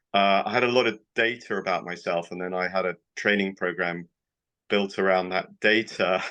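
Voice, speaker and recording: Against a quiet background, a man with a British accent speaks at a moderate pace with a fairly low pitch and a bright, sharp tone. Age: 60s. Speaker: doctor. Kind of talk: interview.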